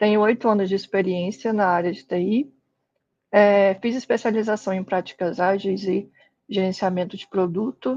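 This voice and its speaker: Fairly even intonation from a woman at a moderate pace. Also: medium pitch for a woman. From Brazil, Espírito Santo. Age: 20s. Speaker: tech instructor. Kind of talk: online lecture.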